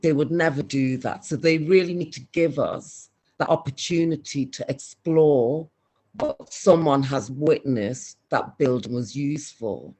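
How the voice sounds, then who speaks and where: Someone speaks at a fairly slow pace with a Scouse accent. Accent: soft Scouse. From Liverpool, England. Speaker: community speaker. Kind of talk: online community meeting talk.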